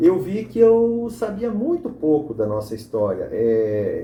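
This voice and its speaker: A man talks in a high pitch with very wide pitch swings. Noticeable background noise and audible room echo are present. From southern Brazil, Santa Catarina. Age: 70s. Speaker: former mayor and local historian. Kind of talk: documentary interview. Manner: halting, with frequent repetitions.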